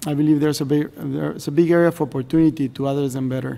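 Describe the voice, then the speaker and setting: A man speaks at a fairly high pitch in a Spanish accent. His intonation is monotone and flat. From Mexico. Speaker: government representative of host country. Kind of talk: formal meeting remarks. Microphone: podium.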